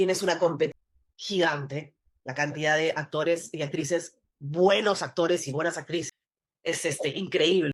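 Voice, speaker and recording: A woman speaks in a Lima accent at a moderate pace. Her pitch is fairly low and her intonation fairly even. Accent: Peruvian, Lima. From Peru, Lima. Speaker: actress. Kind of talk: interview conversation. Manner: halting.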